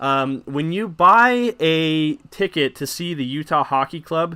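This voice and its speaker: A man speaks in an animated, bright, sharp tone at a fairly high pitch, with ordinary pitch variation. The recording is very clean, with a silent background. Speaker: hockey podcast host. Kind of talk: live postgame recap. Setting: home livestream from basement. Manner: fast.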